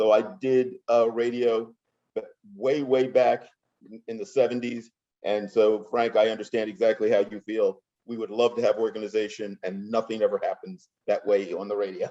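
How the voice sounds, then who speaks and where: With an American accent, the voice moves along at a moderate pace. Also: man. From US Northeast, Philadelphia. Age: 60s. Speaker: martial artist and polio survivor. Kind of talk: podcast interview.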